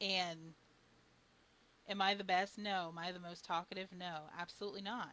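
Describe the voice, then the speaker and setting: This woman's tone is bright and sharp, her pitch medium and her intonation flat and monotone. She keeps a moderate pace, broken by long, frequent pauses. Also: big swings in loudness. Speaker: streamer. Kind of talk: casual chat. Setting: live stream.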